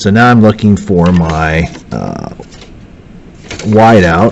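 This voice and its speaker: A man's fairly low pitch with ordinary pitch variation, amid noticeable background noise. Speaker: math teacher. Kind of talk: tutorial.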